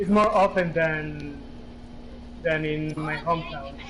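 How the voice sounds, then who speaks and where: Fairly even intonation from a male speaker, noticeable background noise behind him. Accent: Spanish. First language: Spanish. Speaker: gamer chatting online. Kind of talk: casual chat. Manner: halting.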